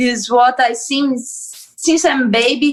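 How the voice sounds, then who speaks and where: Ordinary pitch variation, with a Portuguese accent. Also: woman. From Brazil. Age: 20s. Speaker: MMA fighter. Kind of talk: interview. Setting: video call. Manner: cheerful, animated; halting non-native English.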